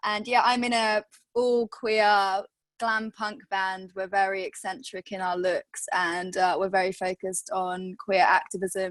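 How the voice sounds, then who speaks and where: With a Welsh accent, a woman speaks at a fairly slow pace with fairly even intonation. The sound is dry and close, with no echo. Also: medium pitch for a woman. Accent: Welsh, noticeable. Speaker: punk band lead singer. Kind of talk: panel discussion. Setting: video call.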